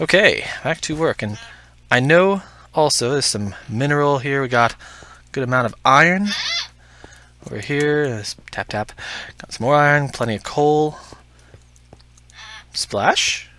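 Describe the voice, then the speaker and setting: Through noticeable background noise, a man with a fairly high pitch speaks with long, frequent pauses. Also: moderate pace. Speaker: gaming YouTuber. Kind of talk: let's play commentary. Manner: casual, hesitant with fillers.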